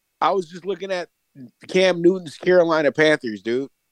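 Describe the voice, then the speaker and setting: A man speaks at a high pitch in a dry, close sound with no echo. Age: 30s. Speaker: sports commentator. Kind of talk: casual chat.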